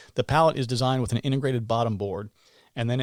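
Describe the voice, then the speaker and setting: On a very clean recording with a silent background, a man at medium pitch shows ordinary pitch variation, the sound dry and close with no echo. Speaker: beekeeper. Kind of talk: podcast tutorial. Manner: casual, conversational.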